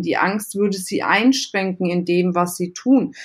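On a very clean recording with a silent background, a woman speaks at a fairly slow pace with lively intonation and a somewhat breathy quality. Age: 30s. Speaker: entrepreneur and business coach. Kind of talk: interview.

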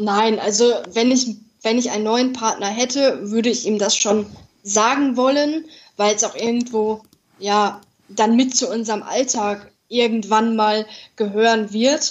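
A woman with a plain, everyday voice speaks at a fairly slow pace, her fairly high pitch held in fairly even intonation. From Ruhr area, Germany (Dortmund). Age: 20s. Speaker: podcast guest with congenital heart defect. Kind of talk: interview.

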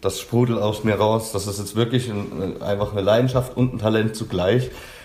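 With an unremarkable speaking voice, a man talks at a moderate pace and a fairly low pitch. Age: 30s. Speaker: language coach trainee. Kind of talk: interview.

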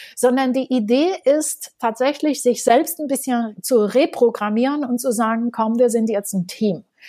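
With a Romanian accent, a woman speaks at a high pitch. Her tone is dark and mellow, with ordinary pitch variation. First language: Romanian and French (speaking German). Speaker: education entrepreneur and author. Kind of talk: interview.

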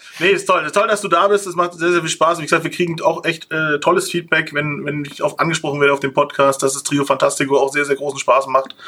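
Over noticeable background noise, a man talks at a very fast pace with hardly any pauses. His pitch is fairly high and his intonation fairly even. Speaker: podcast host. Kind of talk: casual chat.

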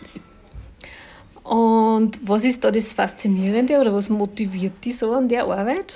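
A woman speaks at a fairly slow pace with long, frequent pauses, her fairly high pitch showing ordinary variation. There is noticeable background noise. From Austria, Linz. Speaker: podcast host. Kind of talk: interview. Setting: restaurant by a lake.

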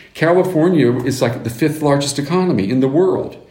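With audible room echo, a man speaks at a moderate pace with lively intonation. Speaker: news anchor. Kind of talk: interview.

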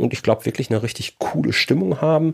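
Over a silent background in a very clean recording, a man uses lively intonation with vocal fry. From Germany, Ruhr area (Bochum). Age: 40s. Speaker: business mentor and podcaster. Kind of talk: podcast monologue. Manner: casual, upbeat.

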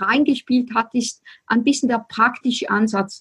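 A woman with a Swiss accent speaks at a high pitch and a moderate pace, the sound dry and close with no echo. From Switzerland. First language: Swiss German (speaking German). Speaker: spiritual business coach. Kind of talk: casual interview chat.

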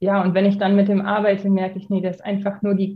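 A woman's voice sits at a medium pitch and is somewhat breathy. Her intonation is monotone and flat. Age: 30s. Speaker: dressage trainer. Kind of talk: podcast interview. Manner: hesitant, many filler sounds.

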